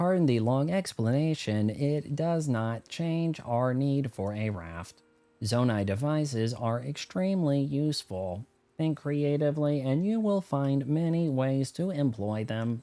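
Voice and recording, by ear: A man puts on a robotic character voice at a medium pitch and a fairly slow pace.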